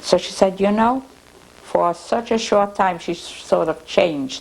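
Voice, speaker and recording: Noticeable noise sits in the background while a woman speaks rather slowly. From Russia. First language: Russian. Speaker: oral history interviewee. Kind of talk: oral history interview. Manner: halting, frequent repetitions.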